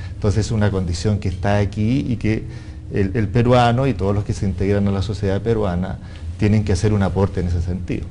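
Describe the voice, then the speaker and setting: A man speaks at a fairly low pitch with fairly even intonation. His delivery is very fast, and the room echo is audible. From Chile. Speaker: international business development consultant. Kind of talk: panel discussion.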